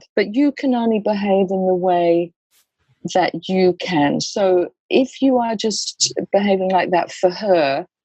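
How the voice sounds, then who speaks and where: Here a woman has a normal speaking voice at medium pitch, talking at a fairly slow pace with ordinary pitch variation and a dry, close sound with no echo. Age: 60s. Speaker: death doula and educator. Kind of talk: podcast interview.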